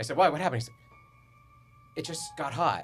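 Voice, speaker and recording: A man speaks with music in the background. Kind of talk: podcast co-host telling a personal ghost story. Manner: casual, conversational storytelling.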